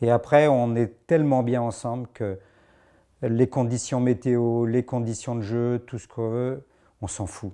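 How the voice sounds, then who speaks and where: This man's voice has a dark, mellow tone. He talks at a fairly slow pace. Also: quiet background. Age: 60s. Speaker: amateur rugby player, former club president. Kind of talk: interview. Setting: locker room. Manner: hesitant, with fillers.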